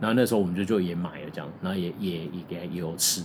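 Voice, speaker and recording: A man with a very deep, low voice talks at a very fast pace with fairly even intonation, with audible room echo and noticeable background noise. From Taiwan (Tainan). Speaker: podcast host. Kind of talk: casual chat.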